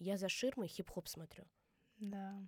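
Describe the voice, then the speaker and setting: The speaker is a woman. Her voice is in the middle of the pitch range. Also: dry, close sound with no echo. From Mordovia, Russia. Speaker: dance teacher and choreographer. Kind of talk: interview.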